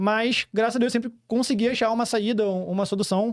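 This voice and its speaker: The recording is very clean and the background silent. A man speaks at a fairly quick pace. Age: 30s. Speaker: entrepreneur. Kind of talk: podcast interview. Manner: fast.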